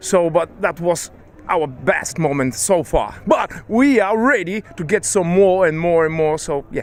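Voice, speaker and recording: A man's high voice with lively intonation at a fairly slow pace, amid noticeable background noise. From Bulgaria. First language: Bulgarian. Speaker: band member. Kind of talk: interview.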